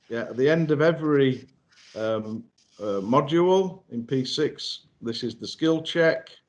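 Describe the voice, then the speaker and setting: A man's fairly high, lively voice with a Yorkshire accent at a fairly slow pace. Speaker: software trainer. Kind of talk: webinar presentation. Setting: online webinar. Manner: halting, many fillers.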